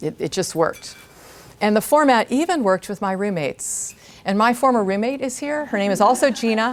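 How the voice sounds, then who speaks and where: A woman's fairly high voice at a fairly quick pace, with lively intonation. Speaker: guest speaker, former teacher. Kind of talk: talk to an audience. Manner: loud.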